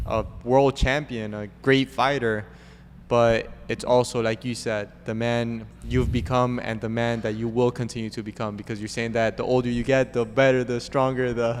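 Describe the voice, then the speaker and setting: At a moderate pace, a man talks with a medium pitch and monotone, flat intonation. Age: young. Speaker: podcast host. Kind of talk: interview.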